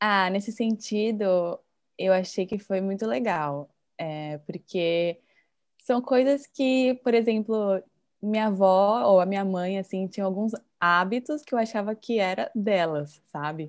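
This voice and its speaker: A woman's unremarkable speaking voice at a medium pitch, fairly slow in pace with ordinary pitch variation, on a very clean recording with a silent background. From Brazil. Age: 20s. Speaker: Instagram creator living abroad. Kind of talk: casual chat.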